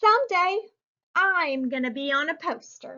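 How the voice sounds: A woman performs a put-on character voice with high pitch and a bright, sharp tone. Her intonation is lively and her pace fairly slow.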